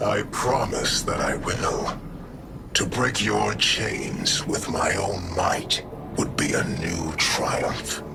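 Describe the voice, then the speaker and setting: Loud background noise fills the clip. A man uses a cartoonish character voice, very deep and low, at a very slow pace. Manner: deliberate, menacing.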